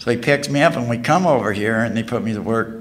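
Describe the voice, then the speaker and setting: A medium-pitched male voice with audible room echo. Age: 50s. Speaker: recovering alcoholic speaker. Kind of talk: testimony. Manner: halting.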